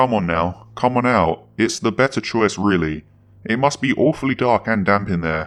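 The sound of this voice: The voice is an unforced reading voice with lively intonation.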